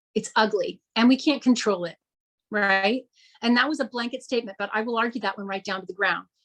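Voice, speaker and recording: Ordinary pitch variation in a woman's fairly high voice. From US West Coast, Fremont, California. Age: 50s. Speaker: journalist and author. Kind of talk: interview. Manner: casual with many fillers.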